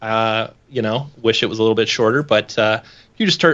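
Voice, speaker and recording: With ordinary pitch variation and a medium pitch, a man talks at a fairly quick pace. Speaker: software company founder and 3D artist. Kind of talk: casual chat. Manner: loud.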